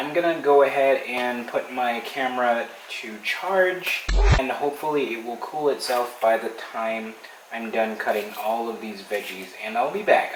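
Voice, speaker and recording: A man talks at a moderate pace with lively intonation. Audible room echo and noticeable background noise are present. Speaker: cooking vlogger. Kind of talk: casual vlog tutorial. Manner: loud; animated.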